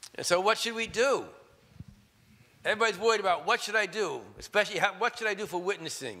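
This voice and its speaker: A man speaks in a raised, projected voice with a high pitch and a bright, sharp tone. He goes at a very fast pace with ordinary pitch variation, broken by long, frequent pauses. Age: 60s. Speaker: preacher. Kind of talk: sermon.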